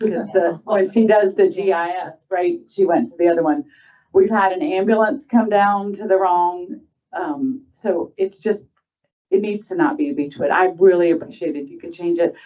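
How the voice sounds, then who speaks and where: With lively intonation and big swings in loudness, a woman of medium pitch talks at a moderate pace. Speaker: resident giving public comment. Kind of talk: public comment. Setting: town board meeting.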